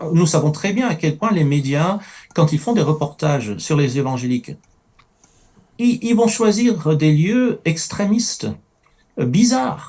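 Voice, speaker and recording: Long, frequent pauses break up a dark, mellow voice that moves at a fairly slow pace with very wide pitch swings. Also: man, fairly high pitch for a man. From Middle East. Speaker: writer and campus ministry worker. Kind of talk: panel discussion.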